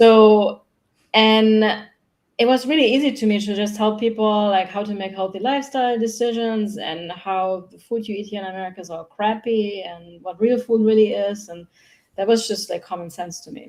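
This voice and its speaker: With a German accent and a fairly high pitch, a woman talks at a moderate pace with fairly even intonation and big swings in loudness. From Germany. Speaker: human design mentor. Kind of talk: podcast interview.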